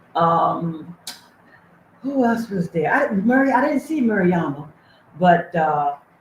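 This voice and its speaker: A woman speaks very slowly at medium pitch, pausing long and often. Her voice is somewhat breathy, with very wide pitch swings. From USA. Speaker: livestream host and charity founder. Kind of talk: casual livestream chat. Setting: livestream, reading chat.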